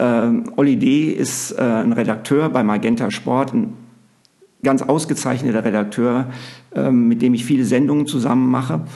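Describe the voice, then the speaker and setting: Pausing often and at length, a man of medium pitch talks at a moderate pace with very even loudness, ordinary pitch variation and audible room echo. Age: 50s. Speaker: basketball coach and TV commentator. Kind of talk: interview.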